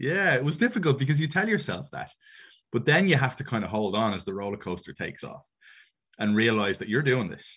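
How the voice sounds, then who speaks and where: With an Irish accent, the speaker moves at a fairly quick pace. Pitch swings very widely over a quiet background. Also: man. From Ireland. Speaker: soccer commentator and wrestling show host. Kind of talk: casual interview chat.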